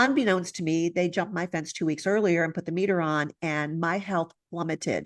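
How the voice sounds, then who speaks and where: A woman talks with hardly any pauses. Her pitch is fairly low, and the background is quiet. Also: ordinary pitch variation. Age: 60s. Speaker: holistic veterinarian. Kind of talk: interview presentation. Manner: animated.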